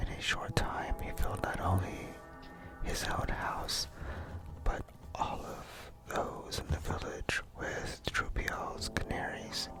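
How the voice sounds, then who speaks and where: Whispering at a very slow pace over background music. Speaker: ASMR artist. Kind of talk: ASMR book reading. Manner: whispered.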